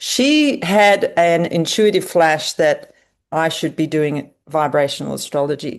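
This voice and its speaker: A woman with a fairly low voice speaks at a fairly slow pace, her intonation lively against a quiet background. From eastern Australia. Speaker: astrologer. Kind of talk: lecture.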